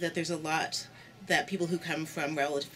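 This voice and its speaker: Clear music plays behind a woman whose voice is very deep and low. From Canada. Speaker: church community worker. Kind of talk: interview. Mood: reflective, earnest. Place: home room.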